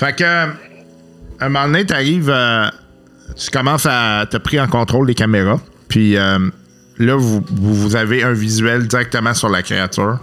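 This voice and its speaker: A man with a Quebec accent, medium pitch, ordinary pitch variation and a fairly slow pace. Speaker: game master of a tabletop role-playing podcast. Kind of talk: tabletop role-play narration. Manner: halting.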